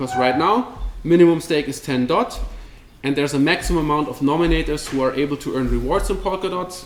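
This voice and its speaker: Noticeable background noise runs under the recording. Over it, a man talks at a fairly high pitch. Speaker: crypto company representative giving a talk. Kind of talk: meetup presentation with Q&A. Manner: fast; casual, with many fillers and repetitions.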